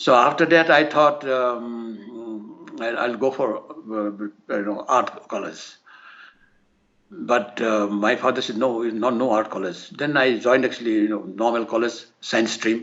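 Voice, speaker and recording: Speaking at a fairly slow pace with an Assamese accent, a man uses a medium pitch and ordinary pitch variation. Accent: Assamese Indian English. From India, Assam (Nagaon district). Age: 80s+. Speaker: painter. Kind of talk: interview. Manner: halting, many fillers.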